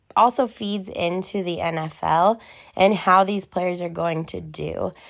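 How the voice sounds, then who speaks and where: On a very clean recording with a silent background, a woman speaks very slowly at a medium pitch with fairly even intonation. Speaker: sports podcast co-host. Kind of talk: casual sports talk commentary.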